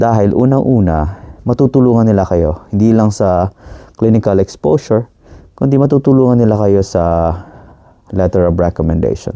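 With a dark, mellow tone, a man speaks at a fairly low pitch. His pace is moderate and his pitch variation ordinary. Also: very even loudness. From Philippines. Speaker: physician. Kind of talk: advice monologue.

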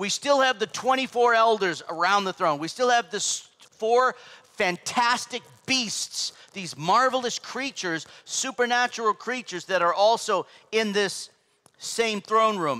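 A man's high, raised and projected voice, bright and sharp in tone, with ordinary pitch variation against a quiet background. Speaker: pastor. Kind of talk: sermon. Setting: church. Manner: loud.

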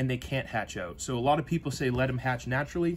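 A somewhat breathy man at a fairly quick pace, ordinary pitch variation, light background noise. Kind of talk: casual explanatory chat. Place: workshop.

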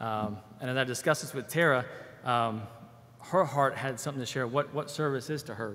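The tone is bright and sharp, with ordinary pitch variation. The pace is fairly quick. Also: man. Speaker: church member giving testimony, military. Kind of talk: testimony. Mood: warm, grateful. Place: church. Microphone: podium.

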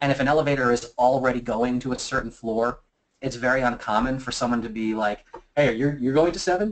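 Speaking at a fairly quick pace, a man with an American accent uses a medium pitch. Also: ordinary pitch variation. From US mid-Atlantic, Philadelphia. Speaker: physical penetration tester and security presenter; presenter. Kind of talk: webinar presentation; Q&A answering audience questions. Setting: online webinar. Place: office. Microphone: webcam.

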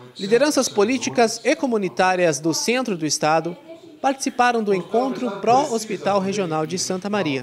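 A man talks at a moderate pace in a high pitch, with very wide pitch swings. Noticeable background noise runs underneath. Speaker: news reporter. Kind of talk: news reading.

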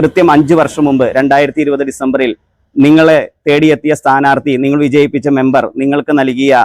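A man speaks at a fairly high pitch with monotone, flat intonation and very even loudness. The sound is dry and close with no echo. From Kerala, Ernakulam district (Angamaly area). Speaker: local election candidate. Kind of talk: campaign speech. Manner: formal.

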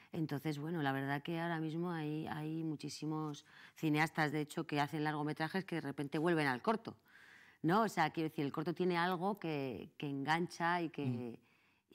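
A woman speaks at a moderate pace against a quiet background. Her very deep, low voice shows ordinary pitch variation. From Madrid. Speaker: actress and film festival director; actress. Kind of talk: interview. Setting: TV studio. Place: studio.

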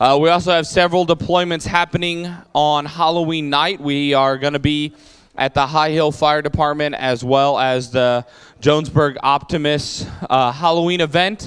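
At a moderate pace, a man speaks with fairly even intonation and very even loudness over a quiet background. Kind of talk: church announcements. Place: church. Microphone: handheld.

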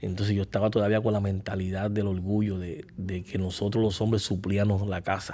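Flat and monotone, a man's dark, mellow voice sits at a fairly low pitch and runs on with hardly any pauses. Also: moderate pace. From Puerto Rico. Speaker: podcast guest. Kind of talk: testimony. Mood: calm, reflective testimony. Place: studio. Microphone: studio mic.

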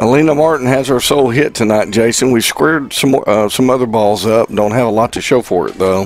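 Over noticeable background noise, a man with a medium pitch talks at a fairly quick pace with hardly any pauses, very even loudness, and ordinary pitch variation. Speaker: color commentator. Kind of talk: live sports commentary, analysis. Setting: stadium press box, live broadcast. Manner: relaxed, conversational.

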